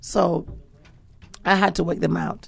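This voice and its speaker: A woman's fairly slow speech, music playing in the background. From England. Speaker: pastor. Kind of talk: talk show discussion.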